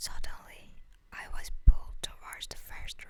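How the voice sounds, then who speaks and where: Whispering at a fairly slow pace, the voice has a soothing tone. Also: woman. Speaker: ASMR story narrator. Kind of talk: ASMR fanfiction story narration. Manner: whispered, soothing.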